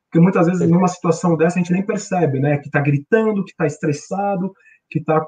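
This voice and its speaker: A man with a São Paulo accent talks at a fairly quick pace in a high voice with fairly even intonation. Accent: Brazilian Portuguese, paulistano. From Brazil, São Paulo city. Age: 40s. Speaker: corporate trainer and aikido practitioner. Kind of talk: casual interview on a livestream.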